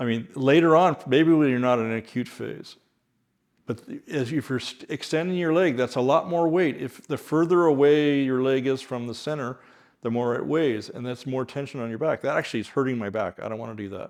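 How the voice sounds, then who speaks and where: A man's unremarkable speaking voice at medium pitch, with ordinary pitch variation and a moderate pace. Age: 60s. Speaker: chiropractor. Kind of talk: tutorial. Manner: calm.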